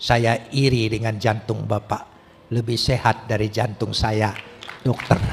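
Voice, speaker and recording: A man's somewhat breathy voice at a very slow pace. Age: 70s. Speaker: pastor. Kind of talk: sermon. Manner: animated.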